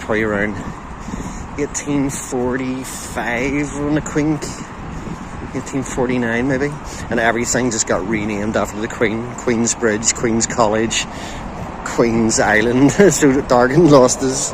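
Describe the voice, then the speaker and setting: Noticeable background noise runs under the recording. A man speaks with fairly even intonation. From Belfast, Northern Ireland. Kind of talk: casual walking tour talk to camera. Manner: casual, conversational.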